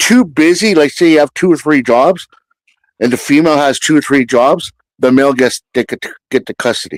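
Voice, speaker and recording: With a Canadian accent, a man talks at a moderate pace and ordinary pitch variation. He has a plain, everyday voice. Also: dry, close sound with no echo. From French Canada. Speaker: live stream guest. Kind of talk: casual chat.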